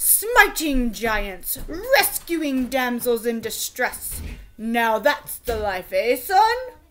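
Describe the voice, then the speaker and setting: In a put-on character voice, a woman talks at a very slow pace, her high pitch making very wide swings. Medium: read story.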